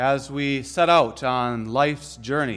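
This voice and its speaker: The man's voice comes through on a very clean recording with a silent background. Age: 30s. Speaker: pastor. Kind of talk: sermon.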